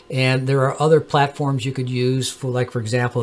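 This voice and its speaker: The voice is a man's, set at a medium pitch. Background noise is noticeable throughout. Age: 70s. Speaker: amateur astronomer YouTuber. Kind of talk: tutorial. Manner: halting, many fillers.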